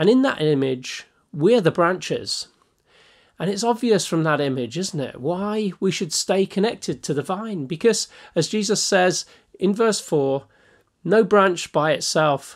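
Over a quiet background, a man talks at a fairly slow pace. His pitch is high and his intonation lively. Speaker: pastor or Bible teacher. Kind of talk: devotional Bible teaching talk. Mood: warm, earnest. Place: home room. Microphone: phone near.

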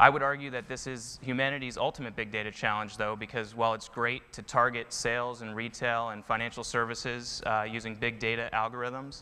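In a bright, sharp tone, a man talks at a fairly quick pace with hardly any pauses and monotone, flat intonation. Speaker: presenter. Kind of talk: conference talk. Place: stage. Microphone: lapel.

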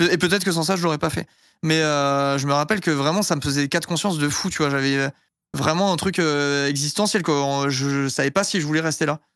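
A fairly high-pitched man at a fairly quick pace, dry with no echo against a quiet background. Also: fairly even intonation. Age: 30s. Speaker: streamer. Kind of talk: casual chat. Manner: playful. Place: home room. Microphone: studio mic.

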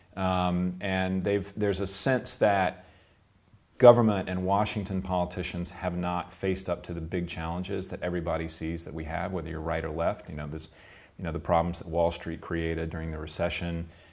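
A man with an American accent talks at a fairly quick pace in a very deep, low voice, with fairly even intonation and big swings in loudness. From US South, South Carolina. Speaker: political campaign consultant. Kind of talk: interview. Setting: recorded interview in Göttingen. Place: office.

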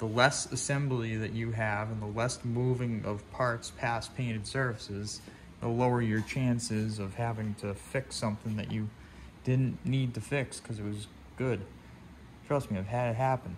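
A man speaks at a moderate pace with fairly even intonation. Light background noise is present. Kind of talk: tutorial. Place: workshop. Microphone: phone near.

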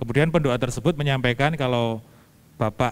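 The speaker is a man. Ordinary pitch variation marks his delivery. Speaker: moderator reading viewer questions. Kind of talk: reading out questions. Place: church. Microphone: handheld.

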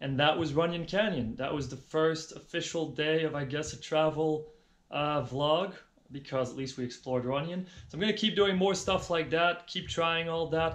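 The man's voice is fairly high-pitched with a fairly bright tone. He keeps a moderate pace and fairly even intonation.

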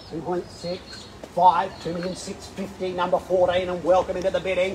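A man with a high pitch talks at a fairly quick pace in a monotone, flat delivery over light background noise. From Australia. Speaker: auctioneer. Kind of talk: property auction call. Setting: live auction. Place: street. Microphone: camera far.

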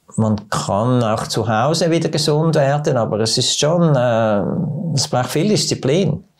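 The intonation here is lively, with a medium pitch. A man delivers it at a very slow pace. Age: 70s. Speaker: doctor. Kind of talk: casual interview. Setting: studio. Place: studio. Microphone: lapel.

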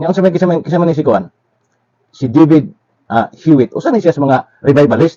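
Dry, close sound with no echo on a man's fairly high-pitched voice, dark and mellow in tone, with lively intonation and a fairly quick pace. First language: Cebuano (speaking Tagalog). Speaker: religious commentator. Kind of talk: religious lecture.

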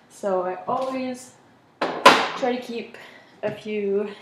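There is audible room echo and light background noise while a woman talks. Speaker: home vlogger. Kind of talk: casual vlog chat. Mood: relaxed, friendly. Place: kitchen. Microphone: camera far.

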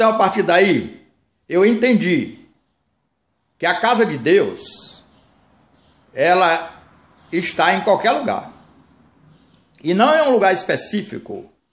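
Very slow speech with lively intonation, long and frequent pauses, and audible room echo. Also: man, high pitch for a man. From Brazil, Bahia (Salvador); Bahia, Brazil. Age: 60s. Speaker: minister, former pastor. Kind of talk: sermon-style monologue. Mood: earnest, warning tone. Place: home room. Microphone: phone near.

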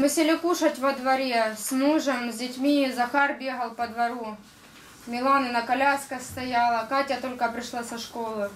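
A woman with a high-pitched voice speaks at a moderate pace and fairly even intonation over light background noise. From Donbas, eastern Ukraine; Ukraine. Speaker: war victim giving testimony. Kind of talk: testimony talk through interpreter. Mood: grave, emotional retelling. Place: meeting room.

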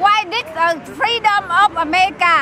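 Over crowd noise, a woman with a Vietnamese accent uses a raised, projected voice. She talks at a fairly slow pace, and the sound is dry with no echo. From South Vietnam. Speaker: torture survivor, protester; interviewee. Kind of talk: street interview. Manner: halting; impassioned. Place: open country. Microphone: handheld.

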